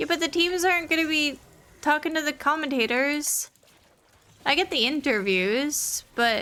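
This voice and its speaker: A woman's raised, projected voice, bright and sharp in tone, with lively intonation at a fairly slow pace. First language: not English. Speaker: streamer. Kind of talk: casual chat while gaming. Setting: live stream. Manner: casual, filler-heavy.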